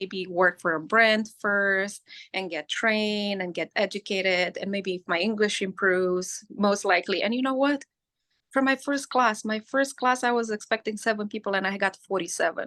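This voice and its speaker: Against a quiet background, a woman with a non-native accent speaks at a medium pitch and a moderate pace. Her tone is bright and sharp, the pitch variation ordinary, and the sound dry and close with no echo. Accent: foreign. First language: not English. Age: 40s. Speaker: hairstylist and educator. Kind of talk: interview conversation. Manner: animated; repetitive stammering.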